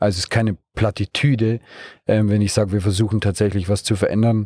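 A dark, mellow voice talks at a very fast pace. The sound is dry and close, with no echo. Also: man, very clean recording, silent background. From Bavaria, Munich region. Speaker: startup co-founder and managing director. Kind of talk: interview. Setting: mobile podcast studio in a car at a trade fair.

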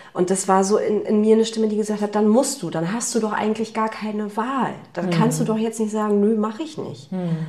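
The speech has ordinary pitch variation and hardly any pauses, with noticeable background noise and audible room echo. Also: woman, fairly high pitch for a woman. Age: 30s. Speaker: business leader. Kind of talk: casual interview. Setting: kitchen at host's home.

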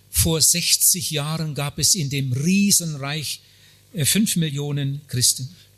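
Against noticeable background noise, a man speaks at a very slow pace with a fairly high pitch and ordinary pitch variation. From Germany. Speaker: evangelist. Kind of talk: sermon. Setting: conference hall with audience. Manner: short phrases paused for interpreter.

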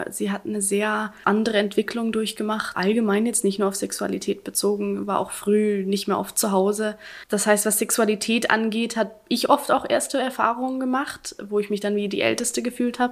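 A woman with a plain, everyday voice and fairly high pitch talks at a moderate pace with fairly even intonation and hardly any pauses. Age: 20s. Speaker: interview guest sharing personal story. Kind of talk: casual interview.

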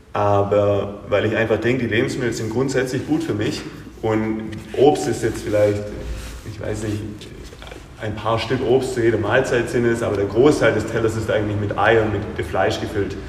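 A man's medium-pitched voice at a moderate pace, fairly even in intonation, with audible room echo and noticeable background noise. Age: 30s. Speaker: gym owner and coach. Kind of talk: interview. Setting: gym.

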